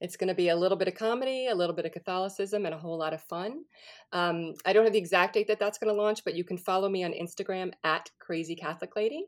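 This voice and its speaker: The speaker talks at a very fast pace in an American accent. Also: woman. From New Orleans, US South. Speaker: actress and comedian. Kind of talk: casual chat.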